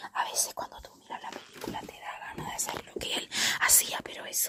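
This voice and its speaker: Over noticeable background noise, the speaker whispers. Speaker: ASMR youtuber. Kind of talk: casual film review monologue. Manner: fast.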